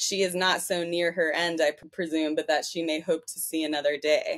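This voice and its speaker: A woman with an American accent, fairly low in pitch, monotone and flat in intonation, at a moderate pace. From United States. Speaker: podcast co-host. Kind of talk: casual chat. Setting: video call.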